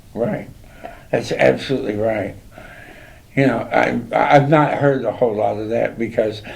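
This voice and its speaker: A man at a moderate pace with long, frequent pauses and audible room echo. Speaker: talk show host. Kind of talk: interview chat. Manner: loud.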